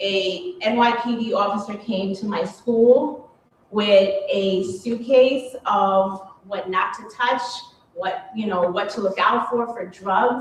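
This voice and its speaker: Over noticeable background noise and audible room echo, a woman with a New York accent speaks at a very slow pace and medium pitch with ordinary pitch variation. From New York, Queens. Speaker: police officer. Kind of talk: panel talk.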